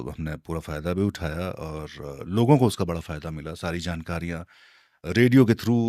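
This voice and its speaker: With a very deep, low pitch and a dark, mellow tone, a man shows ordinary pitch variation and big swings in loudness on a very clean recording with a silent background. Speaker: radio jockey. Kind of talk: interview answer.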